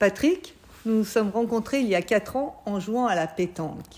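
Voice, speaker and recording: On a very clean recording with a silent background, a woman speaks in a normal speaking voice at a moderate pace with ordinary pitch variation. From Savoie, southeastern France. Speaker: French teacher and interviewer. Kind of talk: interview. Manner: clear, formal.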